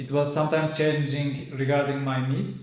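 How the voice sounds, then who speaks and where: With a Turkish accent, a man talks at a moderate pace in a fairly high pitch, his intonation monotone and flat, with audible room echo. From Turkey. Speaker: immigrant, speaking student. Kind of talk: interview.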